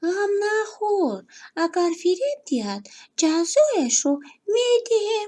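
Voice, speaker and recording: A squeaky, put-on character voice is heard against a quiet background. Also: woman, extremely high pitch for a woman. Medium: read story. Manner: calm, confident.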